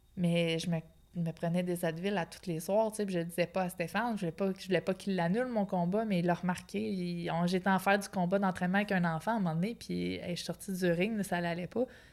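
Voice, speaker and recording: This woman speaks at a very fast pace with fairly even intonation. Her pitch sits fairly low. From Quebec (Outaouais). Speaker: professional boxer. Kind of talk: interview. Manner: casual, colloquial.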